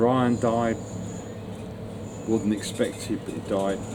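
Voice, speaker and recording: Over noticeable background noise and audible room echo, a man with a London accent speaks at a very slow pace. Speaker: retired musician. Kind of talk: interview. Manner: halting.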